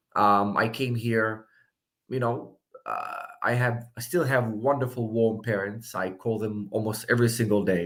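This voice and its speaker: At a fairly slow pace, a man talks with fairly even intonation and a medium pitch. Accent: Israeli. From Israel. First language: Hebrew. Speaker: political candidate. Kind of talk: interview.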